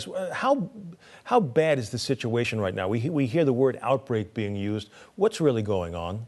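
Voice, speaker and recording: A man of medium pitch with a plain, everyday voice speaks with lively intonation. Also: moderate pace. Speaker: news interviewer. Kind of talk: news interview questions.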